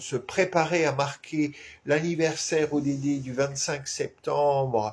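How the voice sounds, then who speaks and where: Against a quiet background, a man talks at a very slow pace in a somewhat breathy voice. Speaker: activist clown and live show host. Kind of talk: weekly live stream address. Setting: home live stream with flag behind. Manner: halting, many fillers.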